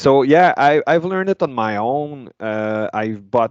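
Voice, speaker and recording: A man speaks fairly slowly in a French accent. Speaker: metal guitarist. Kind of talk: interview. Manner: halting.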